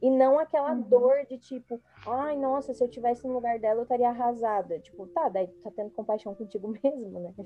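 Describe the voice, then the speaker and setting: A high-pitched woman's voice with ordinary pitch variation and big swings in loudness. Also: fairly quick pace, hardly any pauses. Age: 30s. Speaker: podcast host. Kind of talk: casual chat.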